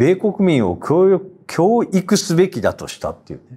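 A man's high yet dark, mellow voice against a quiet background. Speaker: newspaper editor. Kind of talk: panel discussion. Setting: studio. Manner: hesitant, many fillers. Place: studio. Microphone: lapel.

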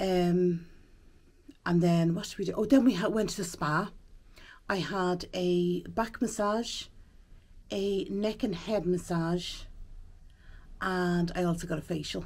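In an Irish accent, a woman speaks very slowly with fairly even intonation and long, frequent pauses. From Ireland. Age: 40s. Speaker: vlogger. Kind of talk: casual vlog talk to camera. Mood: relaxed, chatty. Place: home room. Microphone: phone near.

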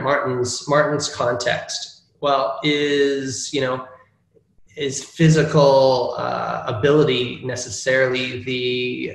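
A man speaks in a monotone, flat intonation. There is audible room echo. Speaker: presenter. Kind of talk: lecture. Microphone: video call.

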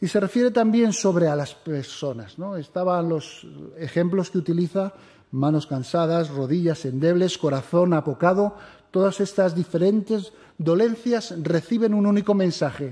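Speaking at a moderate pace in a high pitch, a man with a dark, mellow, solemn tone shows ordinary pitch variation against a quiet background. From Spain. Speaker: preacher. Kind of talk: sermon. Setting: church. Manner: formal, solemn pastoral tone. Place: church. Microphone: podium.

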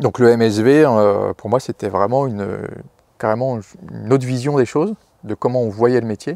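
Speaking at a moderate pace with long, frequent pauses, a man with a dark, mellow tone and ordinary pitch variation is heard against a quiet background, in a dry sound with no echo. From Brittany, France (Morbihan, near Lorient). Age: 40s. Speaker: market gardener. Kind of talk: interview, farm portrait. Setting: on the farm. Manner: hesitant, many fillers and repetitions. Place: farm machine. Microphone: lapel.

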